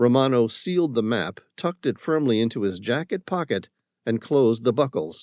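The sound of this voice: An unforced reading voice is heard. Little else sounds, as the background is quiet.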